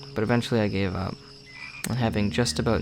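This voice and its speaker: Over music in the background, a man talks with fairly even intonation. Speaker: creepypasta reader / amateur narrator. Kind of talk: horror story reading (creepypasta). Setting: home recording with a new microphone.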